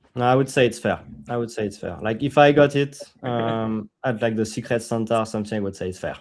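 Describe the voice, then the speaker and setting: A man with a strong French accent talks at a very fast pace in a medium-pitched voice. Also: ordinary pitch variation. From France. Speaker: crypto company team member. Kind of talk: casual chat.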